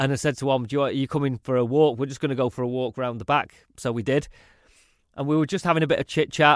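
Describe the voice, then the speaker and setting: Dry and close with no echo, a man's fairly high voice races at a very fast pace with fairly even intonation. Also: very clean recording, silent background. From northern England, Salford. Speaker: actor. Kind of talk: interview.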